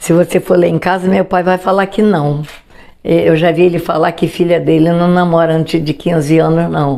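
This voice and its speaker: The voice has a dark, mellow tone and flat, monotone intonation at a moderate pace. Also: woman. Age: 90s. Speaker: grandmother interviewee. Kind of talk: life story interview.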